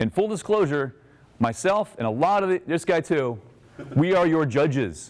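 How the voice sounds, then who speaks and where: A man speaks at a fairly high pitch in an animated tone, with noticeable background noise. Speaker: filmmaker giving a workshop. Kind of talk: workshop talk to a live audience. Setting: room with live audience. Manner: fast.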